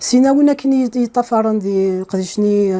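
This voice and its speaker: A woman speaks at a medium pitch. She talks with an Algerian accent. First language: Kabyle (speaking French). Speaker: computer science professor. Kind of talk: interview. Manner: hesitant, with many fillers.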